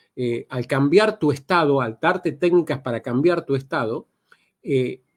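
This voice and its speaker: In a very clean recording with a silent background, a man talks at a moderate pace with ordinary pitch variation. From Argentina. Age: 60s. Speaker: NLP trainer. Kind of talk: podcast interview. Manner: hesitant, many fillers.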